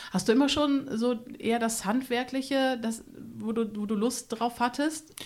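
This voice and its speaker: A woman with a high-pitched voice speaks at a fairly slow pace. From Minden-Lübbecke district, Germany. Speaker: podcast host. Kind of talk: interview. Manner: animated.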